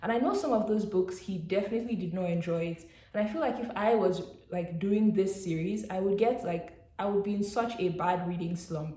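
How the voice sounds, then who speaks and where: Somewhat breathy and dark, mellow in tone, a woman talks at a fairly quick pace and medium pitch with ordinary pitch variation. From Nigeria. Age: 20s. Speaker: BookTuber, immunology researcher. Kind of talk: casual talk to camera.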